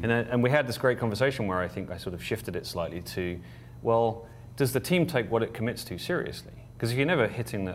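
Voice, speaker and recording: A man with an English accent at a very fast pace, lively intonation and vocal fry, with audible room echo. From England. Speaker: board chair of a professional association. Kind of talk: casual interview. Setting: conference venue.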